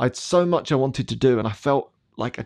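In a very clean recording with a silent background and a dry, close sound with no echo, a man with an English accent speaks at a medium pitch and a moderate pace, with ordinary pitch variation. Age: 40s. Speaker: podcast host and coach. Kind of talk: personal reflection monologue.

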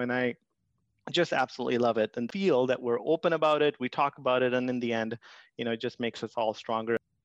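A man in an Indian accent at a medium pitch and very fast pace, with a dry, close sound and no echo. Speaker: IT section head, immigrant.

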